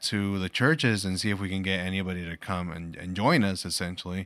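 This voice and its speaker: A man with a fairly low pitch and a bright, sharp tone, fairly quick, on a very clean recording with a silent background. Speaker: podcast host and father. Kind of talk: casual family chat.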